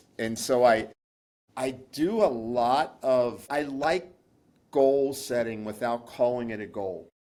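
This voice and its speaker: The man's voice sits at medium pitch with a dark, mellow tone. He speaks at a very slow pace. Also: ordinary pitch variation. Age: 60s. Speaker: pharmacist and nutritionist. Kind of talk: interview.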